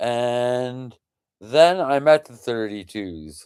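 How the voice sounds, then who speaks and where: Lively intonation from a man at medium pitch, in a very clean recording with a silent background. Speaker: political activist vlogger. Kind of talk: monologue. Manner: halting.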